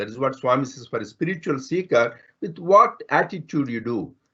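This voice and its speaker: A man with a Telugu accent talks at a fairly quick pace. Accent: Indian (Telugu) English. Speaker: spiritual speaker, physician. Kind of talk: spiritual talk. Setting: online talk.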